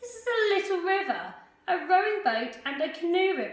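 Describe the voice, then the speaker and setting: Putting on a character voice at an extremely high pitch, a woman speaks at a moderate pace with a slight echo. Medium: read story. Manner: prim, warning.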